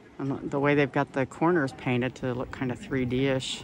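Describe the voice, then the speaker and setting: The speech moves at a fairly slow pace with a dry sound, no echo, and noticeable background noise. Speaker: walking tour guide / travel vlogger. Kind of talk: casual travel vlog narration. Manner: upbeat, enthusiastic. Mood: enthusiastic, admiring. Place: street. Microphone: phone near.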